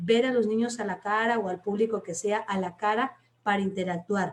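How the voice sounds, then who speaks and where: A woman with a fairly high pitch, an animated tone, a somewhat breathy quality and ordinary pitch variation. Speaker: teacher and storyteller. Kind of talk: workshop talk in a live stream. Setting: online live stream.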